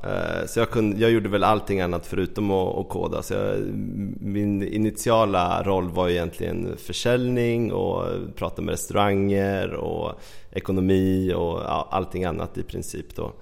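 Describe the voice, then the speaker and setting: A man keeps a moderate speed while noticeable noise fills the background. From Sweden, Västmanland. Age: 30s. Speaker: entrepreneur. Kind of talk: interview. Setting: at home in his apartment.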